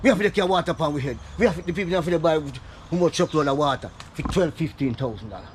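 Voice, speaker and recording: A man talks very fast with lively intonation and a fairly high pitch, over noticeable background noise. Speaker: local resident. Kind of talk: impassioned complaint to vlogger. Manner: animated.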